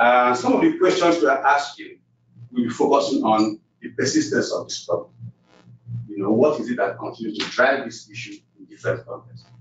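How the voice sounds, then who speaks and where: A man talks at a fairly quick pace with big swings in loudness, amid audible room echo and faint background music. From West Africa. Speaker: research director; presenter. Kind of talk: closing remarks. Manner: halting. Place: meeting room. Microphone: camera far.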